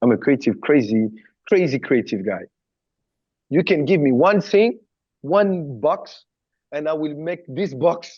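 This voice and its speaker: With a French accent, a man speaks at a fairly slow pace and fairly high pitch, using lively intonation. Long, frequent pauses break up the speech over a quiet background. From southern France. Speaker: former pop star backing dancer, choreographer and creative director. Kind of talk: interview.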